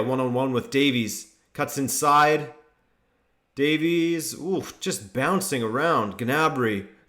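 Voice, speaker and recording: This man speaks at a fairly slow pace and a medium pitch. His pitch varies in an ordinary way. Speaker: football YouTuber hosting a watchalong. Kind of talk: live commentary with chat reading.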